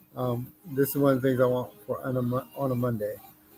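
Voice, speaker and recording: Mumbling from a man at medium pitch, at a moderate pace, with music in the background. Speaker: livestreamer and musician. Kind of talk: casual live stream chat.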